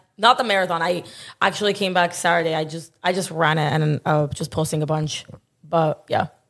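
A woman with an American accent and fairly low pitch, at a fairly quick pace with ordinary pitch variation, on a very clean recording with a silent background. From Los Angeles, US. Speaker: content creator. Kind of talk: casual chat. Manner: loud.

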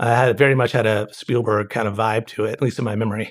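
With an American accent, a man speaks at a very fast pace and with fairly even intonation. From North Carolina, US South (High Point). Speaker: film and TV composer. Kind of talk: interview conversation.

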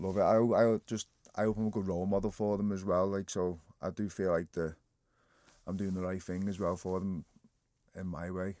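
A man with a Liverpool accent speaks in a very deep, low, dark, mellow voice with monotone, flat intonation, at a fairly quick pace broken by long, frequent pauses. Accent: Scouse. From Liverpool, England. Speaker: professional MMA fighter. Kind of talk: studio interview. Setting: radio studio.

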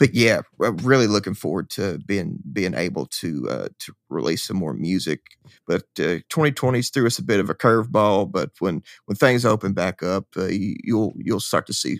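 A man with a Kentucky accent speaks at a moderate pace in a fairly low voice with vocal fry and very wide pitch swings, recorded very cleanly against a silent background with a dry, close sound and no echo. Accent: Kentucky Southern. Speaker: rock band singer and guitarist. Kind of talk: casual interview. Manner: halting, many repeats.

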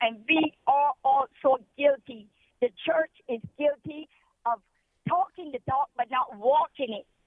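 Music plays in the background as a woman speaks at a fairly slow pace. Her pitch is high, with ordinary pitch variation. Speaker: charity volunteer feeding the homeless. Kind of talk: phone interview. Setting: phone call.

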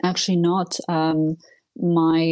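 Speaking over a quiet background, a woman has a dark, mellow tone, a fairly low pitch and monotone, flat intonation. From Switzerland. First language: French. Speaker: political commentator. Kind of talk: interview. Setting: remote call.

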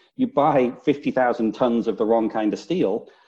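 Dark and mellow in tone, a man's medium-pitched voice shows ordinary pitch variation. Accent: northern English. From northern England. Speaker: business strategy executive. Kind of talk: interview.

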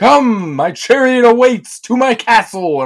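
The speaker puts on a character voice pitched fairly high. Delivery is fairly slow.

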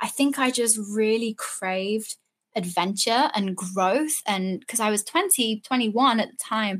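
The voice is somewhat breathy and fairly slow, with big swings in loudness and ordinary pitch variation. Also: woman, fairly high pitch for a woman. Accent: English. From England. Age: 20s. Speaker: traveler. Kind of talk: interview.

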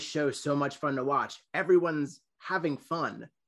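Over a quiet background, a man speaks with an American accent and a plain, everyday voice. It sits fairly high in pitch, and his intonation is fairly even. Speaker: podcast co-host. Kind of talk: casual interview chat.

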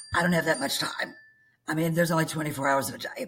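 A woman with an American accent, fairly low in pitch, somewhat breathy, with ordinary pitch variation. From Arkansas, US South. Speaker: flower farmer and artist.

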